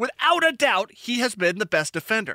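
A man talks in a raised, projected voice at a fairly quick pace, with very wide pitch swings and a bright, sharp tone. The sound is dry and close with no echo. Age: 30s. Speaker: soccer podcast host. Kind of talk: casual chat.

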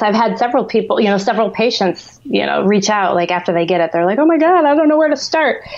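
A woman with an American accent has a normal speaking voice at a fairly high pitch. Her intonation is lively. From US Midwest, outside Chicago. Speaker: acupuncturist and creator. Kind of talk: interview.

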